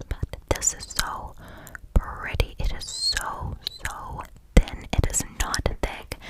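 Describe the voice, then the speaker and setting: A woman whispers in an intense tone, with noticeable background noise behind her. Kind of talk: ASMR whisper ramble about makeup products. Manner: whispered, intense.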